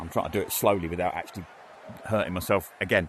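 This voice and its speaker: This is a man speaking. He has an English accent. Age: 60s. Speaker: VR gaming YouTuber. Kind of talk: gameplay commentary. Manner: casual, rambling with hesitations.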